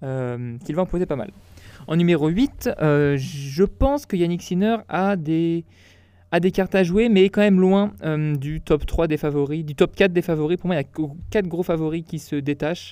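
Over a very clean recording with a silent background, a man speaks at a fairly slow pace. His voice is high-pitched with a dark, mellow tone and ordinary pitch variation. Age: 20s. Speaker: tennis podcaster and university student. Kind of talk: solo podcast commentary. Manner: casual, with frequent hesitations.

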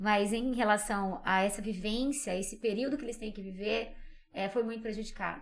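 Speaking at a moderate pace, a woman uses a fairly high pitch and fairly even intonation, with audible room echo. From Brazil, Minas Gerais and São Paulo interior. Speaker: psychologist and communicator, podcast guest. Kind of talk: casual interview chat.

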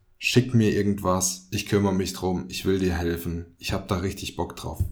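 Delivery is fairly slow. A somewhat breathy quality runs through it. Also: man. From Germany, Fulda (Hesse). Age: 20s. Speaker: podcast host. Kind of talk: scripted podcast intro monologue. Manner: casual, joking.

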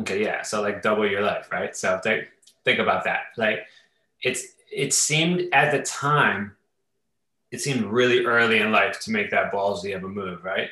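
Speaking with an American accent, a man uses a medium pitch and ordinary pitch variation. His tone is bright and sharp, and his pace is moderate. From Ohio, Youngstown. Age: 40s. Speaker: DJ and entrepreneur. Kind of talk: casual interview. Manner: animated.

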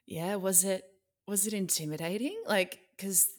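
At a moderate pace, a woman speaks with an Australian accent. Her pitch is medium. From Melbourne, Australia. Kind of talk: podcast monologue and interview. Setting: remote call interview.

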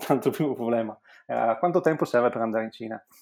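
On a very clean recording with a silent background, a man of medium pitch speaks with lively intonation. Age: 40s. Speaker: entrepreneur. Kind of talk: interview. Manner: halting.

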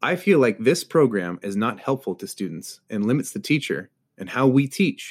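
Over a very clean recording with a silent background, a man's voice makes big swings in loudness and very wide swings in pitch. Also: medium pitch for a man, moderate pace. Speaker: podcast host. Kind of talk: scripted podcast intro and interview.

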